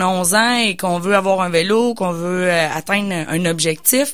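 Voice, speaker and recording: Pitch moves in an ordinary way here. It is an unremarkable speaking voice. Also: woman. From Quebec, Bois-Francs region. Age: 30s. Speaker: business coach and entrepreneur. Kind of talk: radio interview. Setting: radio studio.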